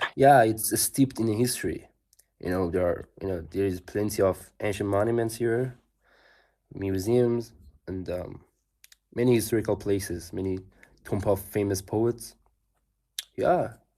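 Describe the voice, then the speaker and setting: With a Persian accent, a man speaks at a fairly low pitch in a dark, mellow tone, using ordinary pitch variation and long, frequent pauses, on a very clean recording with a silent background. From Iran. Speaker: athlete, English learner. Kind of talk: casual chat. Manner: halting, many fillers.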